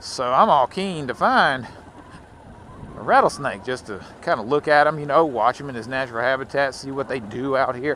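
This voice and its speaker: Using a medium pitch with ordinary pitch variation, a man with a Southern US accent speaks at a moderate pace, his loudness swinging widely. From Louisiana. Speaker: motovlogger. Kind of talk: casual vlog monologue while riding. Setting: outdoors on a motorcycle. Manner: rambling, conversational.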